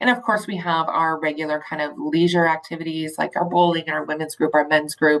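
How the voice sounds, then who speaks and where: With ordinary pitch variation and a fairly low pitch, a woman talks in an unremarkable speaking voice. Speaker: intake coordinator at a community agency. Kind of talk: presentation.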